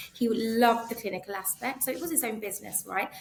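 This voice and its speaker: Over noticeable background noise, a woman in a London accent speaks at a very fast pace with ordinary pitch variation. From North East London, England. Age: 40s. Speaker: optometrist. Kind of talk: interview conversation. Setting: podcast.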